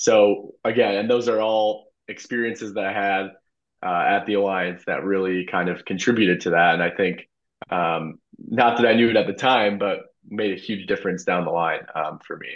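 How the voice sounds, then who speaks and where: A man with an American accent speaks in a plain, everyday voice at a fairly low pitch. His pace is moderate and his intonation fairly even. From US Midwest, Illinois suburbs. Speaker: former intern, consultant. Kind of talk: casual interview. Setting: video call.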